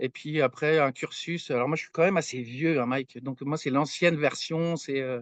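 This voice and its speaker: A man's fairly high voice at a moderate pace, with fairly even intonation, hardly any pauses, and a dry, close sound with no echo. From France, Brittany (Brest). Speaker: materials science researcher. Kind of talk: podcast interview. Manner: hesitant, many fillers.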